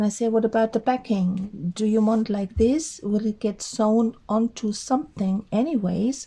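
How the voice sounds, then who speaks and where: A woman speaks at a fairly high pitch for a woman and a moderate pace, with hardly any pauses. Her voice is somewhat breathy and dark, mellow in tone, with ordinary pitch variation and very even loudness. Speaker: crafting YouTuber, artist. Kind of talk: casual vlog monologue. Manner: halting, with fillers.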